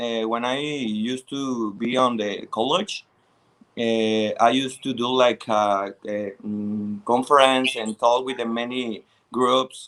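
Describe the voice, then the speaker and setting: At a fairly slow pace, a man of medium pitch talks with fairly even intonation. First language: Spanish. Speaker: pageant contestant. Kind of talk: interview. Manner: halting.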